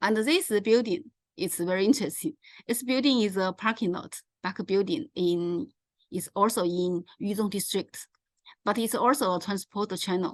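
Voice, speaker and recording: At a moderate pace, a woman speaks with lively intonation in a dry, close sound with no echo against a quiet background. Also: medium pitch for a woman. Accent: Chinese. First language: Chinese. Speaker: presenter on local transport. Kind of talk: presentation. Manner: halting.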